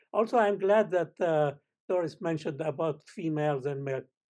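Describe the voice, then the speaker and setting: In a Lebanese accent, a man with a fairly high, dark and mellow voice speaks at a moderate pace with ordinary pitch variation against a quiet background. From Lebanon. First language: Arabic. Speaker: space scientist. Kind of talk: panel discussion. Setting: panel event with audience.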